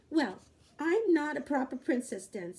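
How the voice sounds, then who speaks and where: At a moderate pace, the lines come out in a put-on character voice. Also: woman, high pitch for a woman. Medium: read story. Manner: spirited, earnest.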